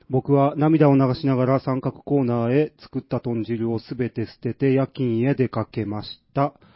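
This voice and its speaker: An unremarkable speaking voice belongs to a man at a medium pitch. He keeps a moderate pace with hardly any pauses. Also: fairly even intonation. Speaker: radio host. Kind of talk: casual chat.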